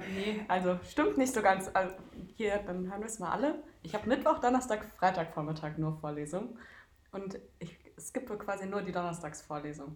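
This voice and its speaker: An unremarkable speaking voice with lively intonation, big swings in loudness and a fairly quick pace. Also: woman, medium pitch for a woman. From Darmstadt, Hesse, Germany. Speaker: handball goalkeeper and student. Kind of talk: casual interview.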